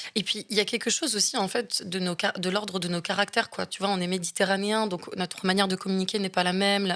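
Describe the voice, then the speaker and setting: At a very fast pace with hardly any pauses, a woman talks in a medium pitch. Her intonation is monotone and flat, over noticeable background noise. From Marseille, southern France. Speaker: actress and film director. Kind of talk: interview conversation. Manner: halting, many hesitations.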